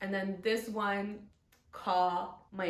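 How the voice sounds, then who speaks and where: Through audible room echo and noticeable background noise, a woman with a non-native accent speaks at a medium pitch. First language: not English. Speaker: book vlogger. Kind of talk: casual book review to camera. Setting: home recording with ring light. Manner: animated.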